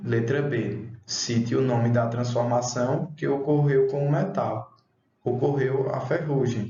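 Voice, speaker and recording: A man at medium pitch talks at a very slow pace with ordinary pitch variation and very even loudness, and audible room echo surrounds him. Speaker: schoolteacher. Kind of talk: online class lesson.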